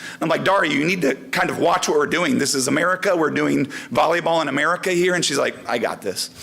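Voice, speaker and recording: Noticeable background noise sits behind the recording. A man with a fairly high pitch talks at a fairly quick pace with ordinary pitch variation. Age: 40s. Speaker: volleyball coach. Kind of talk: award ceremony speech.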